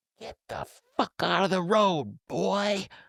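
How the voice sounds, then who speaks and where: A man puts on a raspy character voice, pitched high. He talks at a fairly slow pace, and the sound is dry and close with no echo. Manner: angry, yelling.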